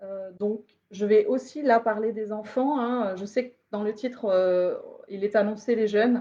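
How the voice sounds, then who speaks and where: A woman's fairly high, dark, mellow voice, fairly slow and with fairly even intonation. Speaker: sociologist giving a lecture. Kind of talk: lecture. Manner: halting, many fillers.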